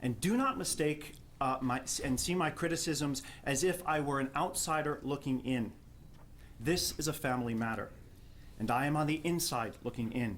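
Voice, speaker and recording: A man with a New Jersey accent talks at a moderate pace, his pitch fairly high and ordinary in its variation. His loudness stays very even, broken by long, frequent pauses. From New Jersey, Jersey City. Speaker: theology professor. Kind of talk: prepared academic response at a panel.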